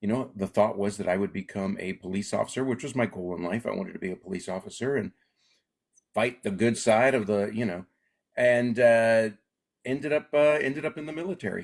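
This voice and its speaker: An unremarkable speaking voice belongs to a man with an American accent who talks at medium pitch and a fairly quick pace with lively intonation. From Alaska. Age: 60s. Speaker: comedian. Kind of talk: interview.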